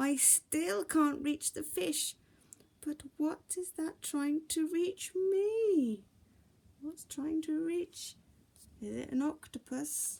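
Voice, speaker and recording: A woman's put-on character voice, extremely high-pitched and very slow. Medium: read story.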